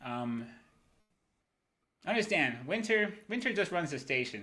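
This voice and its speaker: A man is speaking with music in the background. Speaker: crypto livestream host. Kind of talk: casual livestream talk. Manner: fast; casual, profane.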